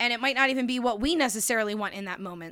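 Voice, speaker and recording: High-pitched, animated and bright, sharp in tone, a woman speaks in a very clean recording with a silent background. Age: 30s. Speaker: podcast host. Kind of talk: casual chat.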